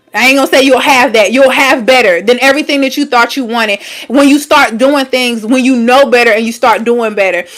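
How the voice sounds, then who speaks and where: A woman talks fairly quickly in a high pitch, with hardly any pauses and ordinary pitch variation. Noticeable background noise is present. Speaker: wellness coach and livestreamer. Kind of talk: livestream talk to viewers. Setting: YouTube livestream. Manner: many fillers and stutters; casual, conversational.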